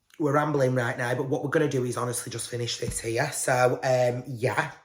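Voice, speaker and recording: A man with a British accent speaks at a moderate pace and medium pitch, somewhat breathy and with fairly even intonation. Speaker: podcast host. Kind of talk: casual chat.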